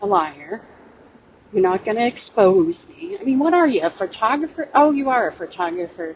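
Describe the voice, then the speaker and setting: A woman with a fairly high pitch and very wide pitch swings speaks at a moderate pace amid noticeable background noise. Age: 50s. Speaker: YouTube commentator. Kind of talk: personal rebuttal monologue. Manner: hesitant with fillers.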